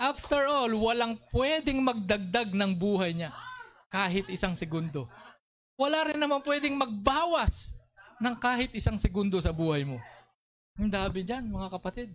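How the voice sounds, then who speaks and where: An animated man's voice, high-pitched, with very wide pitch swings and a moderate pace. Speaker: preacher. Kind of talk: sermon.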